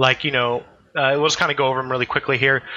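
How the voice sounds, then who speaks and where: This man has an American accent. His pitch is fairly high. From US. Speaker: podcast host. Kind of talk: casual podcast discussion. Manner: hesitant, filler-heavy.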